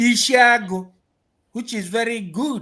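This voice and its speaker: The voice carries a Nigerian accent on a very clean recording with a silent background. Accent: Nigerian Igbo English. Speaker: political activist speaker. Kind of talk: speech at a gathering. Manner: slow.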